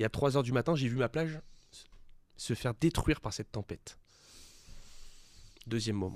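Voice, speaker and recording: At a fairly quick pace, a man speaks with long, frequent pauses, medium pitch and ordinary pitch variation, in a dry, close sound with no echo. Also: big swings in loudness. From French Riviera (Cannes area, Alpes-Maritimes). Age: 20s. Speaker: young entrepreneur. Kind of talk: interview. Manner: hesitant, many fillers.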